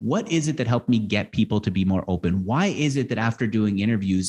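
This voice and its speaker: Heard in a dry, close sound with no echo, a man with a plain, everyday voice speaks fairly quickly at a fairly low pitch. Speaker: interviewer and author. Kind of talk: interview.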